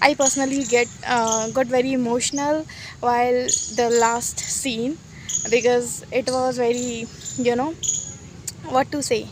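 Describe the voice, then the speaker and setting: A woman with an Indian accent speaks at a fairly slow pace with long, frequent pauses, in a high pitch for a woman and monotone, flat intonation, over noticeable background noise. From Uttar Pradesh, India. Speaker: university student, English learner. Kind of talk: casual talk to camera. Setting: outdoors. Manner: hesitant, many fillers.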